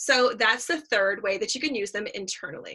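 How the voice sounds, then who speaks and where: A put-on character voice with a raspy edge. It moves at a fairly quick pace. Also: woman. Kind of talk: enthusiastic, presenting. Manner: talking fast.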